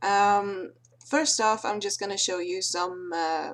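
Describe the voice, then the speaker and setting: A woman with a Swedish accent speaks at a fairly slow pace. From Sweden. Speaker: video creator. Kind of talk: tutorial. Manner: halting, many fillers.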